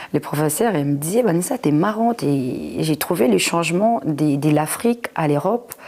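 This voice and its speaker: A woman's very deep, low voice at a moderate pace. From Congo, then Flanders, Belgium. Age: 30s. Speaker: content creator. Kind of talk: personal testimony. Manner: halting, many fillers.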